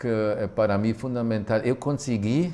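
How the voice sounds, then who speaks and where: With a German accent, a man speaks in a dark, mellow tone at a medium pitch. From Germany. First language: German (speaking Portuguese). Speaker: physical education professor. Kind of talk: studio talk show discussion. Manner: halting, many hesitations.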